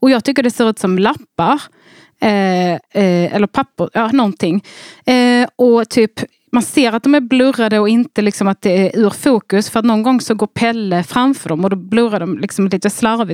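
A woman speaks at a moderate pace in an unremarkable speaking voice, her pitch fairly high with ordinary variation. Her loudness stays very even, and the sound is dry and close with no echo. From Skåne, southern Sweden (Bjärnum). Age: 30s. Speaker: comedian and podcaster. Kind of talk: casual chat.

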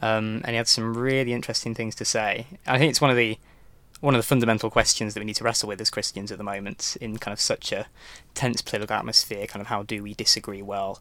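On a very clean recording with a silent background, a man speaks very fast in a bright, sharp tone at medium pitch, with fairly even intonation. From Newcastle, northern England. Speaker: podcast co-host, lay preacher. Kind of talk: interview and discussion.

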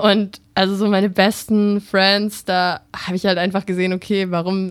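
A woman's monotone, flat delivery at a moderate pace, on a very clean recording with a silent background. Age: 20s. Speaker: TikTok content creator and model. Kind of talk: interview. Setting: radio studio.

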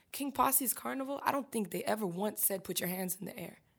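On a very clean recording with total silence behind her, a woman talks very quickly. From Haiti, Port-au-Prince. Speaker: rapper and singer-songwriter. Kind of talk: interview.

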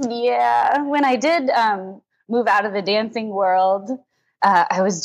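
A woman speaks at medium pitch. Her pitch swings very widely. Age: 20s. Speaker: pole dance studio owner. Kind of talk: casual chat.

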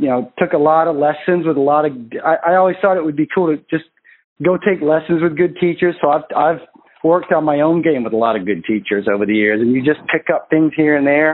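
A man with an unremarkable speaking voice speaks at a fairly high pitch in an American accent, with ordinary pitch variation. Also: fairly quick pace. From US, Maine. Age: 40s. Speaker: golf instructor. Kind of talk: casual interview conversation.

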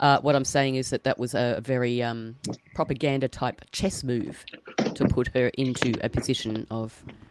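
A woman speaks with an Australian accent in a very deep, low pitch and fairly even intonation. Noticeable background noise runs underneath. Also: moderate pace. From New South Wales, Australia. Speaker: podcast co-host. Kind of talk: casual chat.

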